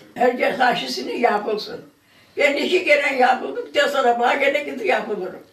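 A woman with a high pitch speaks at a moderate pace and very even loudness, with audible room echo. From Trabzon, Turkey. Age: 80s+. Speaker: interviewee, recovered patient. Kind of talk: interview answer. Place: home room.

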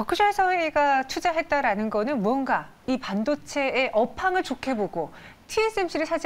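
Her pitch swings very widely as this woman talks. She has a high voice and keeps a moderate pace. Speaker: news anchor. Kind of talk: financial news interview. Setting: studio. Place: studio. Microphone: lapel.

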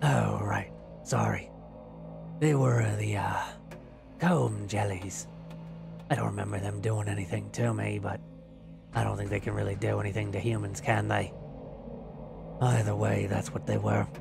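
In a raspy, put-on character voice, someone talks at a moderate pace with long, frequent pauses over clear background noise. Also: man. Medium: read story. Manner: charming, tender, old-fashioned courtesy.

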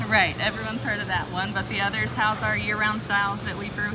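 A woman is speaking. Loud music plays in the background. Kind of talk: interview answer. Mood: upbeat, smiling. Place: factory.

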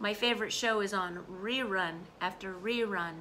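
A woman speaks with a bright, sharp tone over light background noise. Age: 40s. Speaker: English teacher; vlogger. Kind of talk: casual lesson. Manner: animated. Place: home room. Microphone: phone near.

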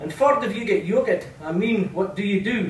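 A man with a northeast Scottish accent speaks at a moderate pace, his high pitch carrying lively intonation. Light background noise and audible room echo are present. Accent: Doric Scots. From North-east Scotland. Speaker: poet. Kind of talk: poetry reading. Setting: live venue. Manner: melodic, rhythmic. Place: hall. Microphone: camera far.

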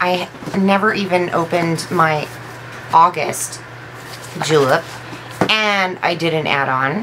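The speech moves at a very slow pace with long, frequent pauses and ordinary pitch variation. Noticeable background noise runs throughout. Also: woman, fairly low pitch for a woman. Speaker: beauty vlogger. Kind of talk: casual product unboxing video. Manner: animated, enthusiastic. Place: home room.

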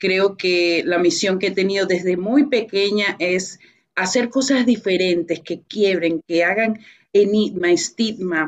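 Against a quiet background, a woman talks at a very slow pace in a medium pitch with ordinary pitch variation. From Venezuela. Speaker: author and business professional. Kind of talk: radio interview. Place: home room. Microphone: video call.

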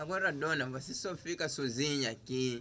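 The tone is bright and sharp, with light background noise. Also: man. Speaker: actor playing a flirting married man. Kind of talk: scripted drama dialogue. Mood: persuasive, complaining, flirtatious.

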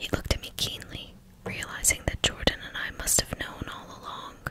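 The speaker is whispering. The pace is fairly slow. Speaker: ASMR narrator. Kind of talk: whispered audiobook-style reading of a novel. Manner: whispered, soft.

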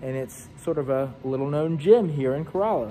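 The voice has a dark, mellow tone at a moderate pace. Light background noise sits underneath. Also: man. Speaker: rental company reporter. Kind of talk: casual vlog chat. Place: hall. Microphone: phone near.

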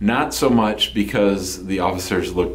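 With lively intonation, a man delivers his lines. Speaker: immigration lawyer. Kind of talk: explanatory talk to camera. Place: office.

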